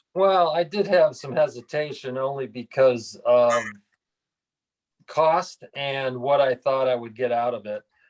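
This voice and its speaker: A man with an ordinary speaking voice talks at a fairly slow pace, his fairly high pitch showing ordinary pitch variation. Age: 60s. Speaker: retired golf club pro. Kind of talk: testimonial interview.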